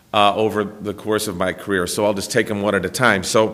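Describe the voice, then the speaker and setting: Someone speaks at a fairly quick pace, with audible room echo around the voice. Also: man. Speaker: lawyer, former federal prosecutor. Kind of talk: conference talk. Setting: symposium room with audience. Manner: loud; halting, many fillers.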